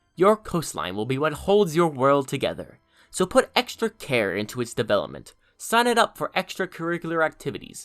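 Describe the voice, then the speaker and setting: Someone speaks at a fairly quick pace over music in the background. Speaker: map-making video creator. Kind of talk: tutorial.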